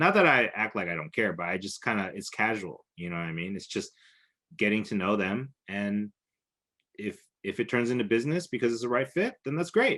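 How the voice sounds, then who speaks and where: Against a quiet background, a man speaks loudly at a fairly quick pace with a fairly low pitch and lively intonation. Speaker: videography business coach. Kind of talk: online class lesson. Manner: fast.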